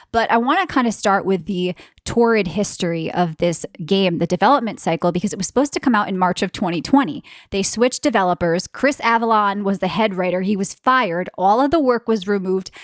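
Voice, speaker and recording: Recorded dry and close with no echo over a silent background, a woman with an American accent talks fairly quickly at a medium pitch in an animated tone. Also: ordinary pitch variation. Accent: East Coast US accent, stronger when tired. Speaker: podcast co-host. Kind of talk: casual chat.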